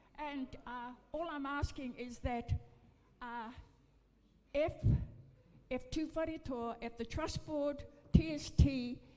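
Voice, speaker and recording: Over music in the background, a high-pitched woman speaks at a very slow pace with fairly even intonation, long, frequent pauses and big swings in loudness. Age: 80s+. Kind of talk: public meeting address. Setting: meeting room with audience. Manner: halting.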